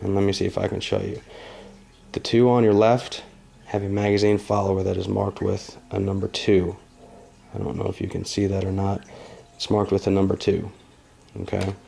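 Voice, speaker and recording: A man speaks at a fairly low pitch in a dark, mellow tone. His intonation is monotone and flat, with long, frequent pauses. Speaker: gun owner. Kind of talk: casual firearm review talk to camera.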